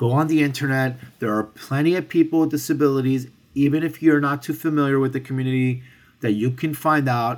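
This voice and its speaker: Heard in a very clean recording with a silent background, a man with an American accent uses an ordinary speaking voice at a medium pitch, with ordinary pitch variation and a moderate pace. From New York City (Hell's Kitchen, Manhattan). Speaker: restaurateur and sommelier. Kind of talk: interview. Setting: restaurant with construction noise.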